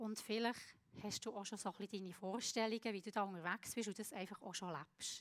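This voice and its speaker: A woman's mid-range voice carries a fairly flat intonation. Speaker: preacher. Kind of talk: sermon. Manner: halting.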